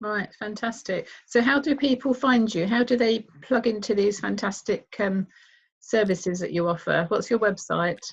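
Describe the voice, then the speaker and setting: A woman with a fairly high, somewhat breathy voice speaks at a moderate pace. Her pitch varies in an ordinary way against a quiet background. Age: 60s. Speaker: radio health show host. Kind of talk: radio interview.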